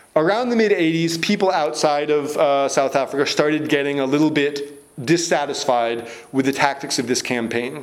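Audible room echo and noticeable background noise surround a man speaking at a fairly high pitch and a moderate pace, with very even loudness and ordinary pitch variation. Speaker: author and speaker on anarchism. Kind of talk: lecture. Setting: stage with audience. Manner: speeds up when excited.

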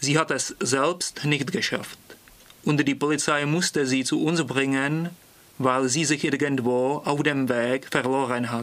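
Very slow speech at a very even loudness, with fairly even intonation. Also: man, fairly high pitch for a man. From Prague, Czech Republic. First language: Czech (speaking German). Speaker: language student. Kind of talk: reading aloud.

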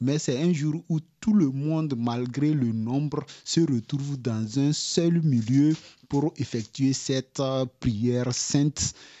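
A man's medium-pitched voice at a very slow pace. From Togo. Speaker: refugee radio reporter. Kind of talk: radio interview. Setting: radio studio.

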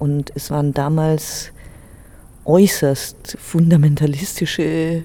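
Noticeable background noise sits behind a woman speaking in a very deep, low voice. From Germany, early childhood in Tehran. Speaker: interviewee. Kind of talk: interview testimony.

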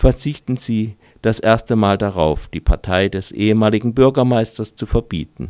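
A man's fairly low, dark and mellow voice with lively intonation at a moderate pace, on a very clean recording with a silent background. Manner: dramatic storyteller delivery, dry and ironic, mock-solemn.

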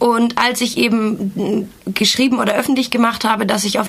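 A woman's fairly high voice with fairly even intonation, moderate in pace, over noticeable background noise. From Germany. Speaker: activist. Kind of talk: interview. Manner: hesitant, many filler sounds.

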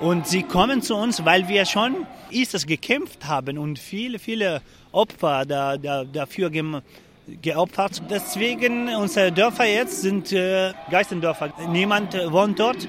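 Speaking at a very slow pace, a man with a high pitch uses lively intonation. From Syria, Afrin region (Kurdish). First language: Kurdish (speaking German). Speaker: refugee protester. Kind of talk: interview. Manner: halting.

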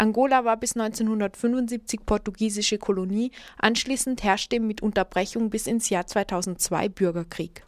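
A woman with an ordinary speaking voice, fairly high in pitch, with fairly even intonation. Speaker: news presenter. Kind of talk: news reading. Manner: formal, even, matter-of-fact newsreader delivery.

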